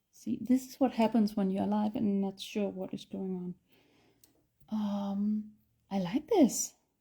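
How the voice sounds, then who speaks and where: A woman with a Danish accent speaks at a medium pitch in a dark, mellow, somewhat breathy tone, with fairly even intonation and long, frequent pauses. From Denmark. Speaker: artist and art instructor. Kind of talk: live-stream painting tutorial. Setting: live stream. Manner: hesitant, many fillers.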